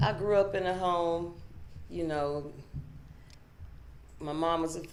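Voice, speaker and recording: A woman's voice with a very deep, low pitch. The room echo is audible. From Pittsburgh, Pennsylvania, US. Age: young. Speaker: author and motivational speaker. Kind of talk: interview testimony. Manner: halting, repeats words.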